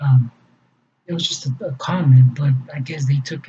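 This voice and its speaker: Speaking at a moderate pace with a Spanish accent, this man has a fairly high pitch, a dark, mellow tone and a somewhat breathy quality. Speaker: fundraiser vlogger. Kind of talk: personal explanation monologue. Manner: halting, many fillers and repetitions.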